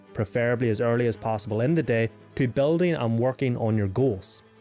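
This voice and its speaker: A man talks fairly quickly while faint music sits in the background. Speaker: self-improvement creator. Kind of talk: casual vlog chat. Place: home room. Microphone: studio mic.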